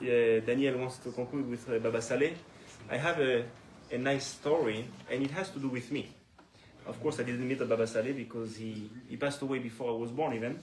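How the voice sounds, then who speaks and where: A man with a French accent at medium pitch, fairly quick pace and fairly even intonation, with audible room echo and noticeable background noise. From France, Paris. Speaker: Torah teacher. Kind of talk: religious lecture. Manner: halting.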